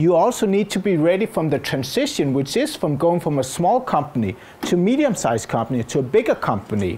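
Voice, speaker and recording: In a Danish accent, a man talks at a very fast pace with a high pitch, very wide pitch swings and very even loudness. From Denmark. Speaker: innovation consultant and speaker. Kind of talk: conference talk.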